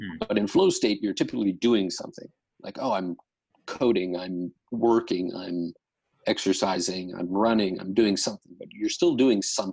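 At a moderate pace, a man talks in a fairly low pitch with ordinary pitch variation and big swings in loudness. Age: 30s. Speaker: meditation practitioner guest. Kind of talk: casual interview. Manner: halting, many fillers.

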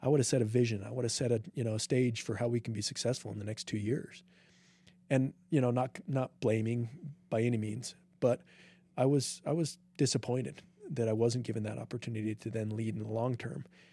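Fairly quick and somewhat breathy, a man of medium pitch speaks in an American accent with a dark, mellow tone and fairly even intonation. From Utah, US. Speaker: triathlete and medical administrator. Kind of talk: interview conversation. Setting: studio.

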